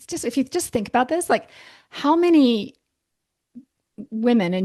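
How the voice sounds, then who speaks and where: The voice moves at a moderate pace with very wide pitch swings. The background is quiet. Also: woman. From Canada. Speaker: naturopathic doctor. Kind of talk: podcast interview. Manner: hesitant, many restarts.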